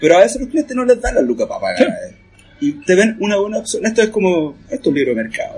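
With music in the background, a man in a Chilean accent talks at a very fast pace. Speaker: comic artist. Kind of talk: casual chat.

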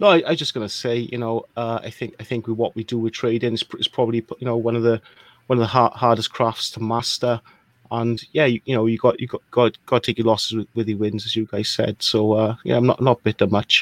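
Speaking at a fairly quick pace with a Welsh accent, a man keeps a flat monotone at medium pitch, in a dry, close sound with no echo. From Wales. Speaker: crypto investor. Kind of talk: casual live chat. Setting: live stream.

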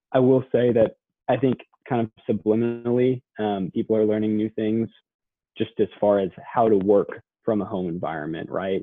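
A man with an American accent and a plain, everyday voice, fairly low in pitch, with ordinary pitch variation and a moderate pace. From Texas, Dallas-Fort Worth suburbs. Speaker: college student. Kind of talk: interview.

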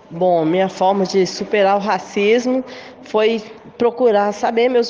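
Noticeable background noise can be heard. Over it, a woman talks with ordinary pitch variation. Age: 50s. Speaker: supermarket worker. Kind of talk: testimony.

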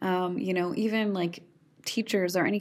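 A woman with a Canadian Prairie accent speaks at a moderate pace, her pitch fairly low and her intonation fairly even. The recording is very clean, with a silent background. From Saskatchewan, Canada (rural farm). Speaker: storyteller and poet. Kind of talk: casual interview chat.

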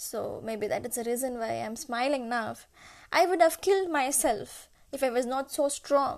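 A woman speaks with a high voice. The recording is very clean, with a silent background. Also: ordinary pitch variation, moderate pace. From India, Kerala (Kottayam). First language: Malayalam and Tamil. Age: 20s. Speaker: nutrition student, podcaster. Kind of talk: personal monologue. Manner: hesitant, searching for words.

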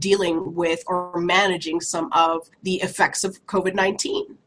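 A woman with an American accent speaks at a fairly slow pace in a somewhat breathy voice. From New Jersey, Woodbury. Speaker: community leader and school board member. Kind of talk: interview.

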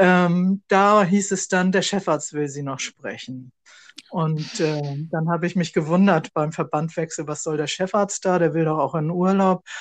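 A woman speaks at a fairly slow pace, her pitch fairly low. It's a plain, everyday voice. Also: fairly even intonation. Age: 60s. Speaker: podcast co-host, sarcoma patient, civil servant. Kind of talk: casual conversation.

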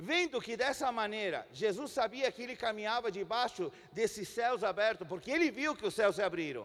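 A high-pitched man with a Spanish accent talks at a moderate pace with lively intonation and hardly any pauses. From Chile. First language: Spanish (speaking Portuguese). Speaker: pastor. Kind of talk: sermon. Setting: church.

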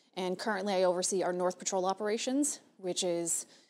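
On a very clean recording with a silent background, a woman speaks at a fairly quick pace in an American accent. Her pitch is medium with ordinary variation. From South Florida (Hialeah, Miami-Dade). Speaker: police major. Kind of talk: interview. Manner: fast.

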